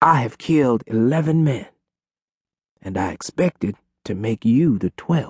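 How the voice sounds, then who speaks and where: A somewhat breathy man at a fairly slow pace, lively in intonation, with long, frequent pauses and a dry, close sound with no echo. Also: medium pitch for a man. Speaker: audiobook narrator. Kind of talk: dramatic audiobook narration of a Wild West tale. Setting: studio. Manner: gripping, vivid storyteller's pacing with punchy emphasis on action beats.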